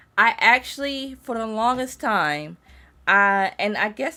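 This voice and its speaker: A woman with a bright, sharp tone is heard on a very clean recording with a silent background. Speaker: vtuber streamer. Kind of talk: casual live-stream chat. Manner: halting, frequent restarts.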